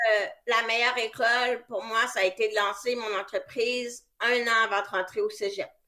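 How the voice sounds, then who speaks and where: A woman speaks at a moderate pace in a Quebec accent. Her tone is bright and sharp, and her intonation stays monotone and flat. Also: fairly high pitch for a woman. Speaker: press relations consultant. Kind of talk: interview.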